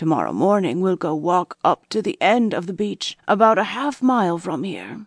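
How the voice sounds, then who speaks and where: Putting on a character voice, a woman sounds croaky and raspy at a medium pitch, speaking at a fairly slow pace in a dry, close sound with no echo. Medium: read story. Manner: mysterious, hushed storytelling.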